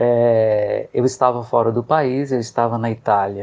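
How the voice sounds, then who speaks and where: This man keeps a medium pitch with fairly even intonation. His pace is fairly slow. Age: 40s. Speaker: occupational therapist. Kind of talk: interview testimony. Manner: halting.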